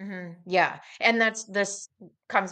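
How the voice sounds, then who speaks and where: A woman speaks with an American accent in a flat, monotone delivery. Her tone is bright and sharp. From rural Kansas. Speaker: journalist and author. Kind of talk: interview. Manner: hesitant, many fillers.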